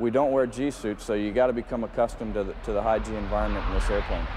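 Someone talks at a very fast pace. There is noticeable background noise. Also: man. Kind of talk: interview answer. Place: hall. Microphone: lapel.

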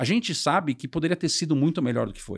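This man has a fairly high pitch and some vocal fry. He talks at a fairly quick pace against a quiet background. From Brazil. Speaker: sales and marketing executive; sales. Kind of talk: interview. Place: studio. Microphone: studio mic.

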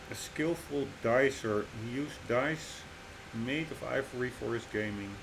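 A man talks at a fairly slow pace while noticeable background noise fills the recording. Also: medium pitch for a man, ordinary pitch variation. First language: not English. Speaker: gaming YouTuber. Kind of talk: gameplay commentary. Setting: home recording. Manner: hesitant, many fillers.

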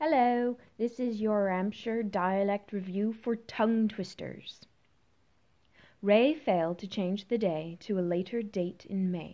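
A very slow woman's voice, dark and mellow in tone, with ordinary pitch variation over a quiet background. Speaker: stage actor. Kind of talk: dialect practice reading. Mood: friendly, careful articulation. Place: home room. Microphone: phone near.

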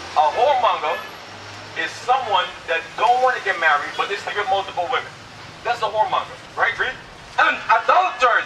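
Against light background noise, a man speaks at a fairly quick pace with lively intonation. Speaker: street preacher. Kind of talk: street preaching debate, argumentative. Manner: insistent, forceful, talks over others. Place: street.

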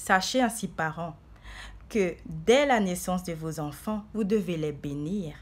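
A woman at medium pitch speaks very slowly, somewhat breathy, with lively intonation. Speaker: preacher. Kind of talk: sermon. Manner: fervent, declamatory preacher in full flow, urgent rising cadence; earnest, exhorting the flock with repeated 'bien aimé'. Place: home room. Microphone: phone near.

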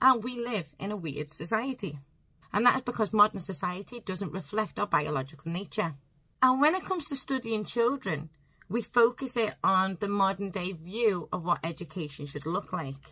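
Against a quiet background, a woman speaks with lively intonation in a bright, sharp tone at a moderate pace. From UK. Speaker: home-educating parent and YouTuber. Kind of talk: angry rant about schooling, delivered straight to camera with mounting indignation. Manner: impassioned, emphatic. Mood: earnest, slightly frustrated. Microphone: phone near.

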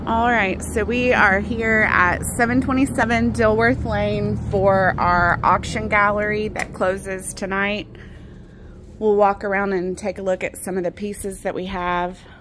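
A woman speaks at a fairly slow pace with fairly even intonation. Background noise is noticeable. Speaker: auctioneer presenting gallery. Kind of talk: walkthrough sales pitch. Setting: in auction gallery, walking around. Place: shop. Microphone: phone near.

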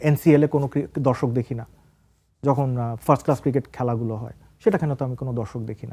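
The man's voice has a dark, mellow tone, and the sound is dry and close with no echo. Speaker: senior sports journalist. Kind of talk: studio talk show interview. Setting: TV studio.

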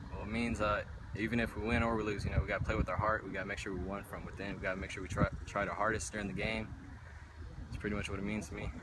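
Speaking at a very fast pace, a man is heard through loud background noise. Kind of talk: interview answer. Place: stadium. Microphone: phone near.

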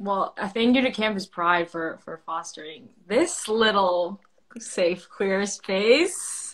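A woman with an American accent at a very slow pace and medium pitch, with ordinary pitch variation and big swings in loudness. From US Midwest (suburbs of Detroit). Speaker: actor. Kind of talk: casual chat. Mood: warm, relaxed. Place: home room. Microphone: phone near.

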